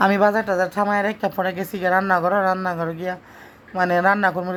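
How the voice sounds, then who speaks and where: A woman speaks with a central Bangladeshi accent at a medium pitch. Her intonation is monotone and flat. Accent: Narsingdi regional dialect. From Narsingdi, Bangladesh. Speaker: cooking vlogger. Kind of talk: casual vlog chat.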